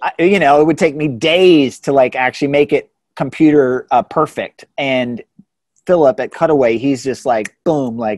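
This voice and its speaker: Fairly high-pitched male speech with an American accent, ordinary pitch variation and a moderate pace, with a dry, close sound and no echo. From Central Virginia, US. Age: 40s. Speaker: entrepreneur, cycling apparel brand owner. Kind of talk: interview. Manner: halting, many fillers and restarts.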